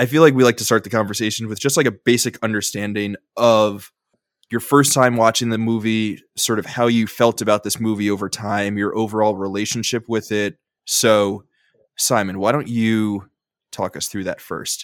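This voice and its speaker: A man talks at a moderate pace and medium pitch in a normal speaking voice, his intonation fairly even. The recording is very clean with a silent background, dry and close with no echo. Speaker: podcast host. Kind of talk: casual chat.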